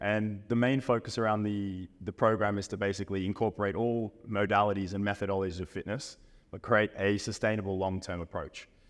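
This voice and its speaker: A man with an Australian accent speaks at a fairly low pitch in a monotone, flat intonation. He moves at a fairly quick pace with hardly any pauses. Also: quiet background. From Australia, Brisbane. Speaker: fitness coach. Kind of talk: podcast interview.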